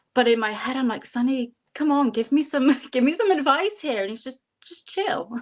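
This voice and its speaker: A woman in a Bristol accent, high in pitch and lively in intonation. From England, Bristol. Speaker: psychic and life mentor. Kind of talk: casual interview chat.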